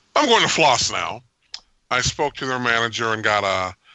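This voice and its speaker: With a normal speaking voice, a man talks at a moderate pace in a fairly low pitch and ordinary pitch variation. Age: 50s. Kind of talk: casual chat.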